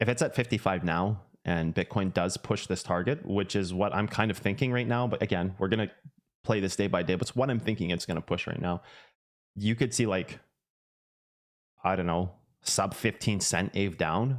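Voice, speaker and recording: A man with a Canadian accent speaks in a normal speaking voice at a fairly low pitch. His pace is moderate and his pitch variation ordinary. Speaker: crypto trading streamer. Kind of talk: live stream chat. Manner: casual.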